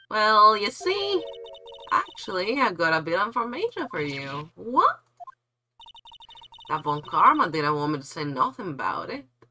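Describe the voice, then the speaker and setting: A female-sounding voice puts on a drawling Southern US accent as part of a character act, raised and projected at a medium pitch. The pace is moderate, with long, frequent pauses. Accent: American Southern drawl. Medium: virtual streamer. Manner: folksy, drawling, chatty.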